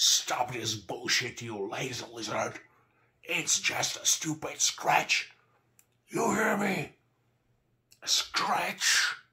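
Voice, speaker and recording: Shouting in a raspy, put-on character voice at a high pitch, a man speaks very slowly with long, frequent pauses. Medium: read story. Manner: angry yelling, commanding.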